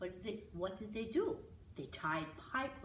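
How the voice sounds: Someone reads in a natural voice, and the intonation is lively.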